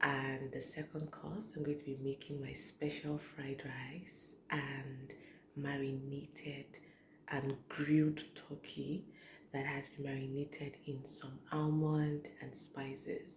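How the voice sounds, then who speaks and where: Quiet and somewhat breathy, a woman speaks at a very slow pace in a very deep, low pitch with monotone, flat intonation. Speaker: cooking vlogger. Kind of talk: cooking tutorial. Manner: speaking slowly and quietly.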